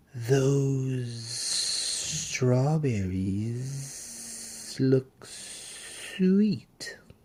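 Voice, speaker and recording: A man puts on a character voice at a medium pitch. Hissing is audible. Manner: hissing, sly.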